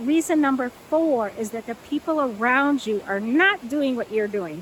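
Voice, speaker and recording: A woman with a high pitch and lively intonation speaks at a moderate pace amid noticeable background noise. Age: 60s. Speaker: plant-based lifestyle coach. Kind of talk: talking-head video monologue. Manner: conversational, with frequent fillers.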